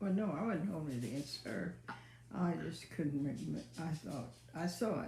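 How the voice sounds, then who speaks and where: Soft-spoken, a woman talks at a fairly slow pace in a very deep, low voice with very wide pitch swings. Audible room echo and noticeable background noise surround her. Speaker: mother, co-host. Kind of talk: casual chat. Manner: quiet, soft-spoken; halting.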